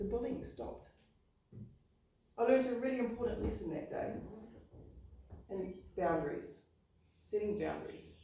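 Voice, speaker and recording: A speaker with a New Zealand accent talks at a moderate pace with ordinary pitch variation, and some room echo is audible. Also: woman. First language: not English. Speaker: public speaking club member. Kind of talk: prepared speech.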